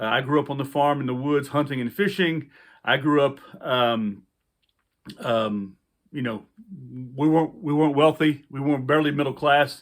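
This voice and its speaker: A man with a Louisiana accent speaks at a moderate pace, leaving long, frequent pauses. His pitch is fairly high, with ordinary variation. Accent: Louisiana Southern US. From US South, central Louisiana. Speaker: outdoor survival instructor, army veteran. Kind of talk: casual vlog talk to camera. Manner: halting, many fillers.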